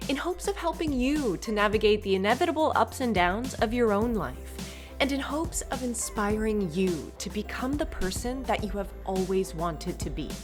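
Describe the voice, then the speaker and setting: With music in the background, a woman keeps a moderate pace and hardly any pauses. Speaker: podcast host; actor, yoga instructor. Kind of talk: podcast intro.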